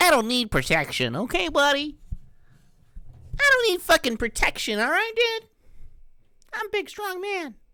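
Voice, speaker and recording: An extremely high put-on character voice swings very widely in pitch. It moves at a moderate pace with long, frequent pauses. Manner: tough, defensive.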